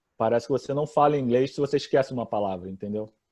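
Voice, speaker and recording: Against a quiet background, a man talks very fast in a dark, mellow tone, with a dry, close sound and no echo. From Brazil. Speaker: accountant. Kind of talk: interview.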